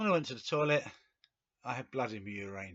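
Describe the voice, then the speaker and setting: This man speaks at a medium pitch with an English accent. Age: 60s. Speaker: video blogger with cancer. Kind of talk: personal video diary. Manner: hesitant, with fillers.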